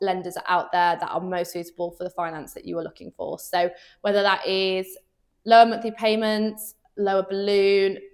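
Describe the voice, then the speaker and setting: A woman speaks at a medium pitch and a moderate pace with a slight Birmingham accent. Her intonation stays fairly even while her loudness swings widely. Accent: slight Brummie (Birmingham). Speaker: underwriter at car finance firm. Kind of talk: Q&A chat.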